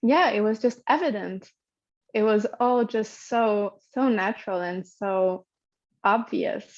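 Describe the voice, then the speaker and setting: At a very slow pace, a woman with a Hungarian accent talks at a fairly high pitch with ordinary pitch variation. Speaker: podcast guest sharing birth story. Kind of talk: personal storytelling interview. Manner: halting, many fillers and repeats.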